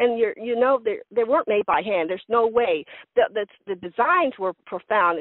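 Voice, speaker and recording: Her intonation lively, the woman moves along at a fairly quick pace. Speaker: contactee sharing experiences. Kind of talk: testimony in an interview. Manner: fast.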